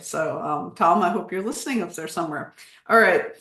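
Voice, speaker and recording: An American accent with audible room echo. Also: woman. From United States. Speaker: history professor, lecturer. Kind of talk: lecture. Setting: Zoom video call.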